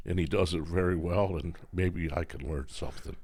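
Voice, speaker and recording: A man with an American accent speaks at a very deep, low pitch with vocal fry, in audible room echo. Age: 80s+. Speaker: retired firefighter. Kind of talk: casual chat. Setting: office at hunting camp. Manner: halting.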